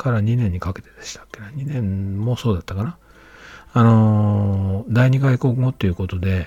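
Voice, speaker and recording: Speaking at a moderate pace, a man has a dark, mellow, somewhat breathy tone, with fairly low pitch and ordinary variation. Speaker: podcaster. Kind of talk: solo monologue. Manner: halting, many fillers.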